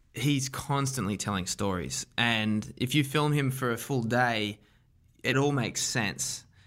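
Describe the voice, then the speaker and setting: Speaking with an Australian accent at a very slow pace, a man of medium pitch shows ordinary pitch variation in a very clean recording with a silent background. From Australia, Wollongong. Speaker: documentary director. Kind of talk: interview.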